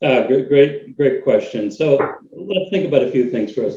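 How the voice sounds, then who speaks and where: With a Boston accent, a man speaks in a fairly high, somewhat breathy voice that has a dark, mellow tone. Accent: American, Boston. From US Northeast, Boston, Massachusetts. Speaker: cloud technology consultant. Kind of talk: webinar interview.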